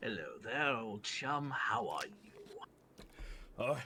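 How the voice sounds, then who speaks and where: Putting on a character voice, a man drags his words out very slowly. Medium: actual play. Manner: calm, courteous, old-fashioned.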